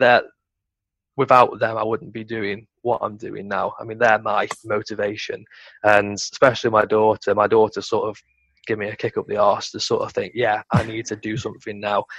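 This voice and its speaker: With a Potteries accent, a man speaks at a moderate pace with big swings in loudness, his sound dry and close with no echo against a quiet background. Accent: Potteries (North Staffordshire) English. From Stoke-on-Trent, England. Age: 20s. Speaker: entrepreneur. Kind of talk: casual chat.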